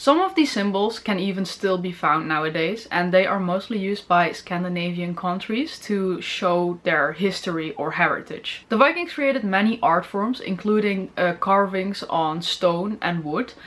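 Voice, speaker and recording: Speaking with a Dutch accent, a woman at a medium pitch keeps a moderate pace with ordinary pitch variation over noticeable background noise. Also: hardly any pauses. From Netherlands. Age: 20s. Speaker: film review YouTuber. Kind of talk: informational talk to camera.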